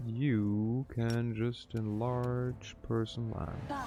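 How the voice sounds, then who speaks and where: A man's medium-pitched voice at a very slow pace, with music in the background and audible room echo. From Germany. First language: German. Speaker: video game streamer. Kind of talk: live gameplay stream chat. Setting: live stream. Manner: casual, chatty.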